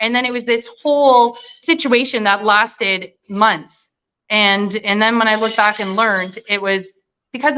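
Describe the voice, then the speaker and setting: With a slight Canadian accent, a woman at medium pitch talks at a moderate pace in a bright, sharp tone with ordinary pitch variation. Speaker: nurse. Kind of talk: interview.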